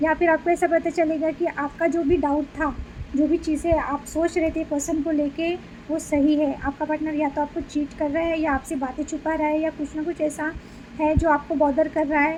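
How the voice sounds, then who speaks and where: The speaker's intonation is monotone and flat, at a moderate pace. Noticeable background noise is present. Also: woman, high pitch for a woman. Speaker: tarot reader. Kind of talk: tarot reading. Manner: conversational.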